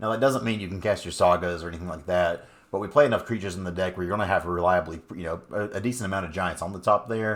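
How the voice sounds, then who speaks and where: This man has an American accent and ordinary pitch variation. He speaks very fast. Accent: southern US accent, noted by viewers. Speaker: gaming content creator. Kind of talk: video game strategy tutorial. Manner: casual, folksy.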